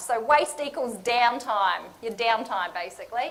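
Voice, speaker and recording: A woman speaks at a moderate pace with lively intonation, and the room echo is audible. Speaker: lean management consultant. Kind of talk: conference presentation. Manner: casual, interactive.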